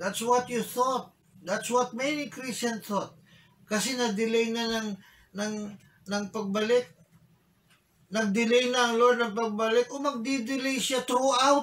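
Very slowly and with long, frequent pauses, a man with a Filipino accent speaks at an extremely high pitch with fairly even intonation. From Philippines. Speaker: bishop and preacher. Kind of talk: sermon in Taglish; rousing sermon, rhetorical questions to congregation. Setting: church. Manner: emphatic, repeating phrases for emphasis; urgent, exhorting, pleading. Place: office.

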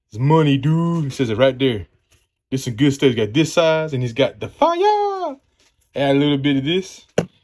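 Male voice, moderate pace, light background noise. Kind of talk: casual vlog chat. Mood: upbeat and friendly. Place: kitchen. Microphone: phone near.

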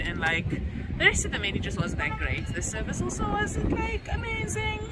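A woman talks at a fairly quick pace, with loud background noise behind her. The sound is dry, with no echo. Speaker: vlogger. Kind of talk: casual vlog chat. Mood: cheerful, slightly annoyed. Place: street. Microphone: phone near.

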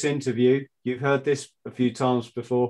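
Against a quiet background, a speaker with a British accent talks at a moderate pace. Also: man. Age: 50s. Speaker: podcast host, former Royal Marine; podcast host. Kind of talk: casual interview. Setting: video call. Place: home room. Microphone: video call.

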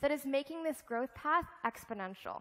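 A woman talks at a fairly quick pace in a high pitch. The background is quiet. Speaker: keynote speaker. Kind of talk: keynote speech. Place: stage.

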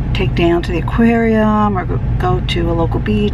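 Noticeable background noise sits behind the recording. A woman speaks at a moderate pace. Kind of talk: casual vlog talk to camera. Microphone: phone near.

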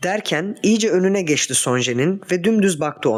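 This natural reading voice has a lively intonation.

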